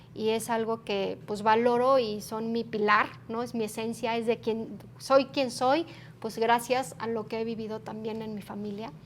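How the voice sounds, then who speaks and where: A plain, everyday voice from a woman, fairly high in pitch with ordinary variation, at a fairly slow pace. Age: 40s. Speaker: human resources executive. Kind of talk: interview.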